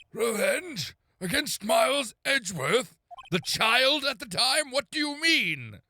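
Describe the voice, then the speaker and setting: A man puts on a character voice at an extremely high pitch, with lively intonation. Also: fairly slow pace. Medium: game stream. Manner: formal, pronouncing.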